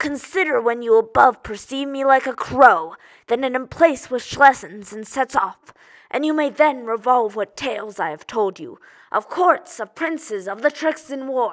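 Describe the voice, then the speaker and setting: A female-sounding, put-on character voice, high in pitch, at a moderate pace, on a very clean recording with a silent background. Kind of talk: theatrical monologue, audition style.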